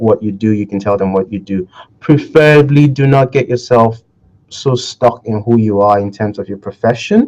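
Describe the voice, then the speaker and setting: With a dark, mellow tone and medium pitch, a man talks at a moderate pace using fairly even intonation. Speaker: online discussion host. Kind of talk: motivational talk. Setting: video call. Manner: slurring words; halting.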